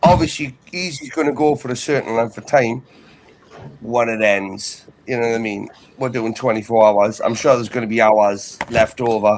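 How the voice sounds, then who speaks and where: The man's pitch varies in an ordinary way, with noticeable noise behind him. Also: medium pitch for a man, moderate pace. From northeast England. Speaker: debate stream panelist. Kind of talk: casual chat.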